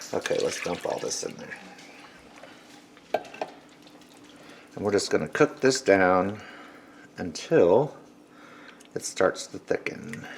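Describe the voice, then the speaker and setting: Long, frequent pauses break up a man's very slow speech, with big swings in loudness. Noticeable background noise is present. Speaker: cooking channel host. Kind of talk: cooking tutorial. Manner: casual.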